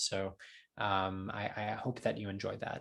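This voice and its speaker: On a very clean recording with a silent background, a man speaks with a New Jersey accent. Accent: American, New Jersey. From US Northeast, New Jersey. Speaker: translator. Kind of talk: Q&A talk. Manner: halting, many fillers.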